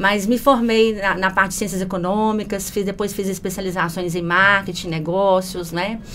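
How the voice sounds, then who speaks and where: A woman talks at a moderate pace with fairly even intonation. She speaks with a strong Minas Gerais accent. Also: medium pitch for a woman, hardly any pauses. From Minas Gerais, Brazil (Belo Horizonte). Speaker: customer service manager. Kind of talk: podcast interview.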